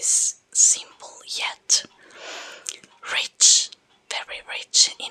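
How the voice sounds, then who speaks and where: A woman speaks in a whisper. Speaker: ASMR creator. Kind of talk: whispered ASMR book talk. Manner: soft-spoken, whispered, calming.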